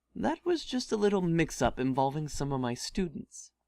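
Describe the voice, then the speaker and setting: A man's strained, high-pitched, put-on character voice at a moderate pace. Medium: read story. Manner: strained politeness.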